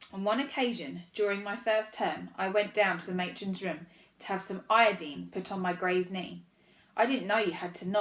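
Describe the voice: The text is read aloud plainly, with fairly even intonation.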